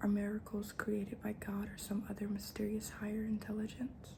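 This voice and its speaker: Soft-spoken and at a fairly quick pace, a woman talks over noticeable background noise. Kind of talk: ASMR book reading.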